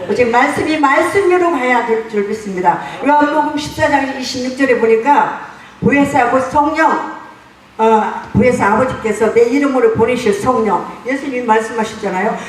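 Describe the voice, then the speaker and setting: A woman speaks at a moderate pace with a high pitch and ordinary pitch variation, with audible room echo and noticeable background noise. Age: 70s. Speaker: pastor. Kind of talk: congratulatory speech at church founding ceremony.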